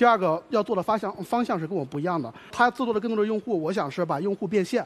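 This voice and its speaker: Talking at a very fast pace, a man with a high voice uses lively intonation. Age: 20s. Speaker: job applicant, university student. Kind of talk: job interview on TV show. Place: stage. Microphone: headset.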